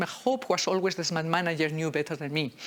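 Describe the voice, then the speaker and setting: A woman talks at a very fast pace with a slight Spanish accent. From Spain. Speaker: agile leadership speaker. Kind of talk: talk at a meetup. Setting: room with live audience. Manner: animated, interactive.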